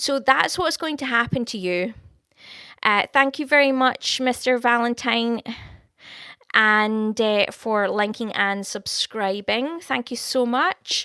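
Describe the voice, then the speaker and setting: A woman speaks very slowly at a fairly high pitch, her tone warm yet bright and sharp, with ordinary pitch variation. The recording is very clean with a silent background and a dry, close sound with no echo. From Scotland. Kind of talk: live stream chat with viewers, prophecy. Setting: live stream. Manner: casual, warm, conversational.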